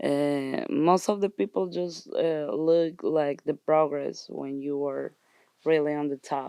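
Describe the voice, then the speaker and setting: A woman's very deep, low voice with a dark, mellow tone, ordinary pitch variation and a very slow pace, in a dry, close sound with no echo. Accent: Colombian. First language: Spanish. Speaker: actress and musician. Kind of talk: interview. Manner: halting.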